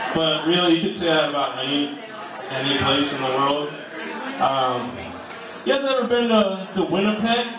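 Pitched fairly high, a man with an American accent talks at a moderate pace with very wide pitch swings and long, frequent pauses. Audible room echo and noticeable background noise are present. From Pittsburgh, US. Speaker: stand-up comedian. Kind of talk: stand-up comedy set with crude, offensive jokes. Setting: bar stage with audience. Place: bar.

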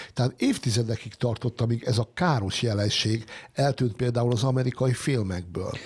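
A somewhat breathy man talks at a moderate pace. His loudness stays very even, with ordinary pitch variation. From Hungary. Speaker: science editor and writer. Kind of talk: panel discussion. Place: studio. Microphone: studio mic.

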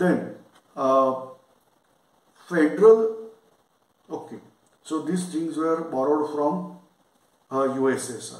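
Amid audible room echo, a man with a fairly high pitch speaks very slowly, with ordinary pitch variation and long, frequent pauses. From India, Maharashtra. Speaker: lecturer. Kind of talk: lecture. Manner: halting, many fillers.

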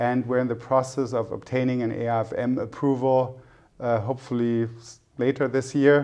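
Over a quiet background, a man with a German accent speaks in a dark, mellow, medium-pitched voice, monotone and flat in intonation. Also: moderate pace. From Germany. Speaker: private equity executive; interviewee. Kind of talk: interview. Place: studio. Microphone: lapel.

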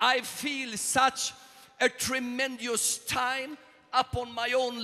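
Using a raised, projected voice, a man speaks at an extremely high pitch and a very slow pace, with long, frequent pauses. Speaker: visiting preacher. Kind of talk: sermon. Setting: church with live audience, consecutive interpretation. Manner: impassioned, fervent, preaching in full flow; call-and-response with a translator, pausing for interpretation. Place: church. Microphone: handheld.

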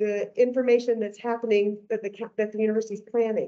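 The background stays quiet. A woman talks with a dark, mellow tone. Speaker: candidate. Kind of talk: campaign speech. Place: hall.

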